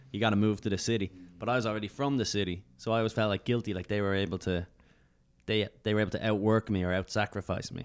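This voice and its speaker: With an Irish accent, a man talks at a very fast pace in a fairly low pitch and fairly even intonation. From Ireland, Dublin. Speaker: stand-up comedian. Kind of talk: casual chat.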